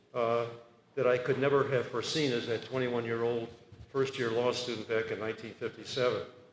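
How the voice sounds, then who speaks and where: Noticeable background noise runs beneath this recording. A man speaks in a medium pitch at a fairly quick pace. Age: 80s+. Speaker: retiring law professor. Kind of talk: retirement speech. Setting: party event with audience. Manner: halting with fillers.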